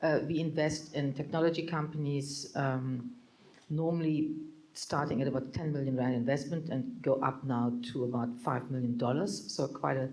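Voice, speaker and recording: A woman with a German accent speaks at a moderate pace with a very deep, low pitch, fairly even intonation and very even loudness. Audible room echo and noticeable background noise are present. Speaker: venture capital partner. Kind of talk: panel discussion. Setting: stage with audience.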